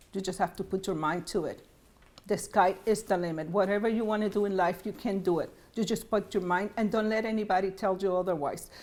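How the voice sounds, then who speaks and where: Fairly quick speech in a Spanish accent with fairly even intonation. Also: woman, medium pitch for a woman. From Puerto Rico. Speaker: state senator. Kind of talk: interview. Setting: arts center.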